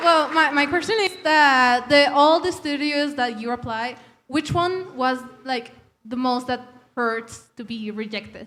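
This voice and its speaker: This woman has a high pitch and a bright, sharp tone, with ordinary pitch variation. She speaks with a non-native accent at a fairly slow pace. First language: Spanish. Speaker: audience member asking a question. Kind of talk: audience question. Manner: halting.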